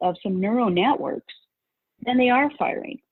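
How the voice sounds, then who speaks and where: A woman talks with an American accent at a high pitch. Her pace is moderate, and her pitch swings very widely. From rural Utah. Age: 60s. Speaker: values coach and course creator. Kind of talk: interview.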